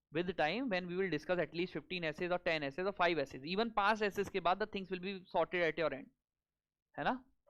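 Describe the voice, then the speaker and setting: Speaking very fast with an Indian accent, a man uses a high pitch, captured in a dry, close sound with no echo. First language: Hindi. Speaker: exam coaching teacher. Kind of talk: lecture. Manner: code-switching Hindi and English.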